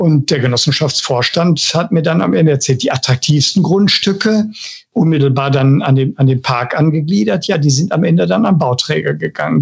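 Somewhat breathy, this man's voice sits fairly high in pitch. He moves at a moderate pace with lively intonation. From Ruhr area, Germany (Bochum). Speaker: housing association director. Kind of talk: interview. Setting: studio. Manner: halting, repeats words.

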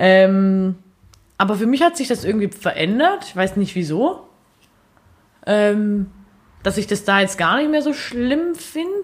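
A woman speaks at a fairly slow pace with very wide pitch swings and long, frequent pauses. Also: medium pitch for a woman. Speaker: podcast co-host. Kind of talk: casual chat.

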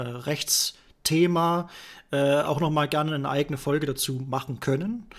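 A man has an ordinary speaking voice, fairly high in pitch with fairly even intonation. The recording is very clean, with a silent background. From Thuringia, Germany. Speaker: podcast host, web developer. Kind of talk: casual chat.

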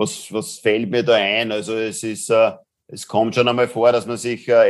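Here a man talks at a fairly slow pace with a medium pitch. The delivery is monotone and flat. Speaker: business angel and impact investor. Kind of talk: interview.

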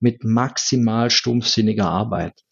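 A man speaks at a very slow pace in a medium-pitched voice with vocal fry. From rural Germany. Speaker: IT strategist. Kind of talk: interview. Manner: repeats words often.

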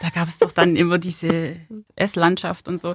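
A woman is speaking. Her pace is fairly slow. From southern Germany, Ulm (Swabia). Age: 30s. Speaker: city centre manager. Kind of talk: interview. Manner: hesitant with many fillers.

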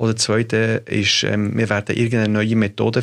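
This man's voice sits fairly low, captured in a very clean recording with a silent background. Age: 40s. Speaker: podcast host. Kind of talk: interview conversation. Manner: halting, many fillers.

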